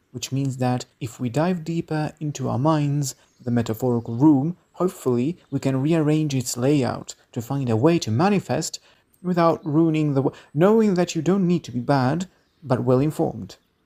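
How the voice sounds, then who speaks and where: A man with a non-native accent speaks at a moderate pace and fairly high pitch in a dark, mellow tone, with ordinary pitch variation. The recording is very clean with a silent background. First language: non-native English speaker. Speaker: video essayist. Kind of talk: video essay narration.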